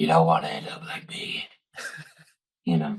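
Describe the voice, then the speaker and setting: At a moderate speed, someone performs in a put-on character voice. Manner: warning, cautionary.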